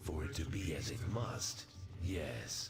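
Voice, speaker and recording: A man puts on a character voice, pitched very deep and low, at a fairly slow pace. Loud background noise and a clear echo fill the recording. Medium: machinima. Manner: menacing, possessive.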